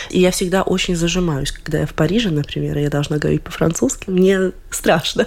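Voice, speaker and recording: Vocal fry runs through a woman's fairly low-pitched voice. She talks at a fairly quick pace with ordinary pitch variation. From Latvia. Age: 20s. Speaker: violinist. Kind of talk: radio interview.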